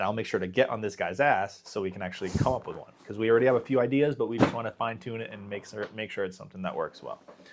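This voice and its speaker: With noticeable background noise behind him, a man speaks at a very fast pace with hardly any pauses, a medium pitch, ordinary pitch variation, and big swings in loudness. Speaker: podcast co-host. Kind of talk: casual chat.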